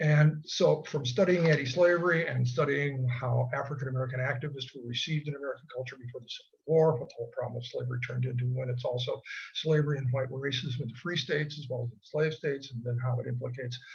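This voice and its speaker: The speech comes at a very fast pace, somewhat breathy, with fairly even intonation and big swings in loudness. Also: man, medium pitch for a man. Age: 80s+. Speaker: retired history professor. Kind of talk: casual chat. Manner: conversational with fillers.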